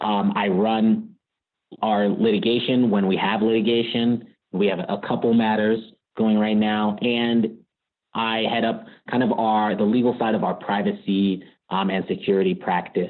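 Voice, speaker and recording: A man with a Californian accent at a moderate pace, very even in loudness and fairly even in intonation. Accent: General American (Californian). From US West Coast, Bay Area California. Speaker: lawyer at a cannabis tech company. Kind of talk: podcast interview.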